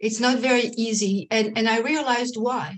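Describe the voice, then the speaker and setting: Somewhat breathy speech from a woman, delivered at a fairly slow pace. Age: 50s. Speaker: end of life doula and menopause coach. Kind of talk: interview. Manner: hesitant, many fillers.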